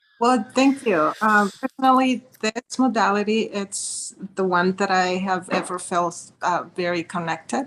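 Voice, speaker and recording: At a fairly slow pace, a woman with a non-native accent speaks with ordinary pitch variation. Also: medium pitch for a woman, hardly any pauses. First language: not English. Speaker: healing practitioner sharing testimony. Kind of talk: testimony. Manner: halting.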